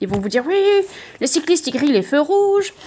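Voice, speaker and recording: Very fast and high-pitched, a woman's put-on character voice swings very widely in pitch. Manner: annoyed.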